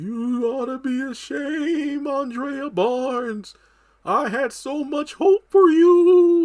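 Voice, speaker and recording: A man puts on a character voice with an extremely high pitch. He speaks at a very slow pace. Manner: ghostly, disapproving.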